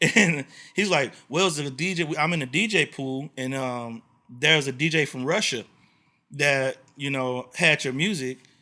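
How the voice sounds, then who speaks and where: With a Texas accent, a man speaks at a moderate pace and a fairly high pitch with ordinary pitch variation. His tone is bright and sharp, and the recording is very clean with a silent background. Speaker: podcast host and blues singer. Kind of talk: casual interview chat.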